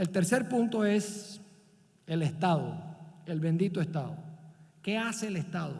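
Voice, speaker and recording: A man with a Barranquilla accent and a dark, mellow tone, ordinary pitch variation, and audible room echo. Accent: Barranquilla coastal Colombian. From Colombia, Barranquilla (Caribbean coast). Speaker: business leader and visiting professor. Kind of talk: conference talk.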